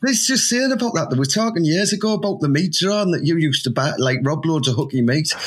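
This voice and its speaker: A man with a Teesside accent, a fairly high pitch, very wide pitch swings and a very fast pace, over noticeable background noise. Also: hardly any pauses, very even loudness. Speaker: football fan, host's brother-in-law. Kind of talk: casual chat. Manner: animated.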